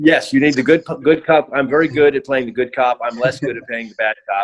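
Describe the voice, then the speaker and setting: A man with an American accent, medium pitch, ordinary pitch variation and a fairly quick pace, in a dry, close sound with no echo. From United States. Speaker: hospitality executive. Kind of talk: interview. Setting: video call. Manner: hesitant, many fillers.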